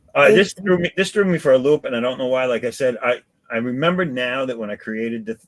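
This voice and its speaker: In a plain, everyday voice, a man speaks at a medium pitch and a fairly quick pace with lively intonation, the sound dry and close with no echo. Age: 50s. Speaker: live-stream host and artist. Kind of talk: casual chat. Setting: live stream. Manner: casual, swearing, joking.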